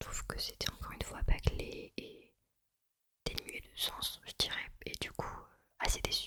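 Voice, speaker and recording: A woman whispers at a fairly slow pace. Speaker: ASMR creator. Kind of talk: ASMR whispered film chat. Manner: whispered.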